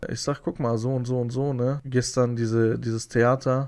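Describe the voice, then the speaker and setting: Moderate-paced male speech over a quiet backdrop. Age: 30s. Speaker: YouTuber. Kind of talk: video rant; casual monologue storytelling. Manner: agitated, repetitive. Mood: aggrieved, indignant. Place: home room. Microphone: studio mic.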